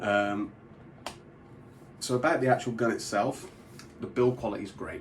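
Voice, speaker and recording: A man speaks with a British accent. His intonation stays fairly even. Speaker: product reviewer. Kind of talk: product review tutorial.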